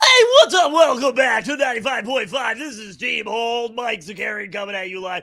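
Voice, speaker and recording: Putting on a character voice, a man speaks in a raised, projected voice at an extremely high pitch. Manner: upbeat, energetic.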